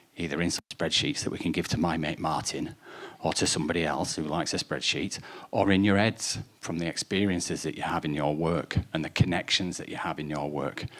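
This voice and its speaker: Speaking fairly quickly, a man has a very deep, low voice. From northern England. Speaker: data analyst, workshop presenter. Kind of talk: presentation to a live audience. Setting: room with audience, microphone. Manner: animated.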